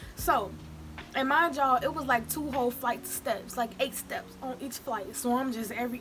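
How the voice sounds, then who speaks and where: A woman's high-pitched voice at a moderate pace, with ordinary pitch variation and music in the background. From Chicago, Illinois. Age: young. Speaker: YouTuber. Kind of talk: casual storytime talk to camera during mukbang.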